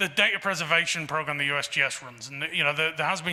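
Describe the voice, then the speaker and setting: A man with an English accent at a very fast pace, over noticeable background noise. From England. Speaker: geological survey director. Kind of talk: Q&A after a lecture. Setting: talk to a society audience. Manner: halting with many fillers.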